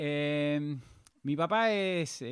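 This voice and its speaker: A man with a Rioplatense accent talks in a fairly high pitch for a man, his intonation lively. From Argentina, Pilar, Buenos Aires province. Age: 30s. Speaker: entrepreneur. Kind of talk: interview.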